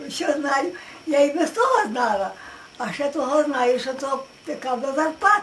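A woman speaks in a high voice with lively intonation. There is light noise in the background. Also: moderate pace. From Western Ukraine. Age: 80s+. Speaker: village elder recalling the past. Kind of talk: interview answer. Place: home room. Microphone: camera far.

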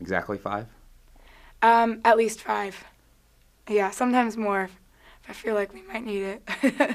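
Over a quiet background, a woman with an American accent speaks at a fairly high pitch with fairly even intonation and long, frequent pauses. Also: moderate pace. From Southern California, South Orange County; Southern California. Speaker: college volleyball player. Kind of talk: interview. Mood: cheerful, amused. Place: studio.

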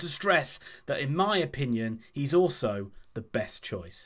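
Lively intonation marks the man's speech, and the background is quiet. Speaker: football fan channel host. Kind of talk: commentary. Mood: enthusiastic, upbeat.

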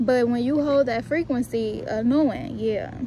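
Recorded dry with no echo, a woman speaks with ordinary pitch variation over noticeable background noise. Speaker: vlogger. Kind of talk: casual vlog chat. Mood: upbeat, motivational, animated. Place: garden. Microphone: phone near.

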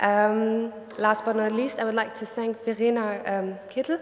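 A woman speaks at a moderate pace. Her voice carries audible room echo. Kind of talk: welcome speech. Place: hall. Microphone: podium.

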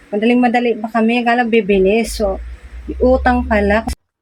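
Fairly quick and fairly even in intonation, a woman speaks at a fairly high pitch. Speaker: vlogger and sari-sari store owner. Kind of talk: casual vlog storytelling.

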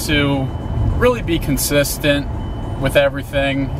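The sound is dry with no echo. A man speaks over noticeable background noise. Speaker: fitness vlogger. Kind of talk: casual vlog chat. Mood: upbeat, relaxed. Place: car.

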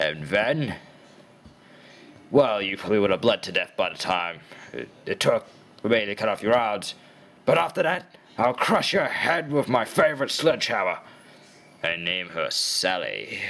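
In a put-on character voice, a man talks at a medium pitch and a moderate pace. Long pauses come often.

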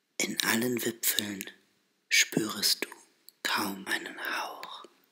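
Someone is whispering. The words come at a very slow pace. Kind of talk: poetry reading. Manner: whispered.

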